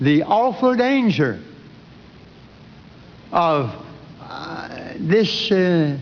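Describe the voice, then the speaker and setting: Over noticeable background noise, a man with a high pitch and very wide pitch swings speaks very slowly, with long, frequent pauses. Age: 80s+. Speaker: preacher. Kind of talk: sermon.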